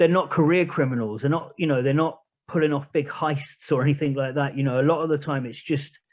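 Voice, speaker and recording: A man speaks at a very fast pace with fairly even intonation. His pitch is fairly high, and the background is quiet. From northeast England, Newcastle area from age twelve. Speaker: podcast host and charity founder. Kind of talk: radio interview. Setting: radio studio. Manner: hesitant, with fillers and repeated words.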